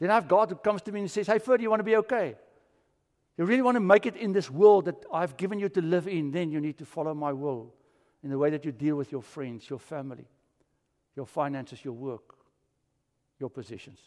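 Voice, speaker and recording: Delivered in a South African accent at a very fast pace, the speech has very wide pitch swings, big swings in loudness and long, frequent pauses on a very clean recording with a silent background. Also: man, fairly high pitch for a man. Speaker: pastor. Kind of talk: sermon. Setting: church.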